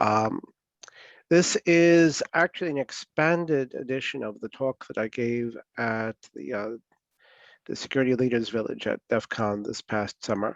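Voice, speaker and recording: A man with an unremarkable speaking voice, medium pitch, fairly slow pace, dry close sound with no echo, quiet background. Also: ordinary pitch variation. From New York. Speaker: security speaker. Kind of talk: lecture. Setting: video call.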